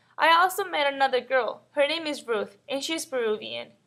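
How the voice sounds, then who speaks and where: With a Mexican accent, a woman speaks at high pitch and a moderate pace, with ordinary pitch variation and a bright, sharp tone. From northern Mexico (Matamoros). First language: Spanish. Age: 20s. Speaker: college student. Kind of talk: scripted personal narration.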